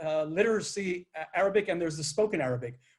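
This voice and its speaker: Speaking with an American accent in a normal speaking voice, a man talks at a fairly quick pace with fairly high pitch and fairly even intonation. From United States. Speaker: former government official. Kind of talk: interview.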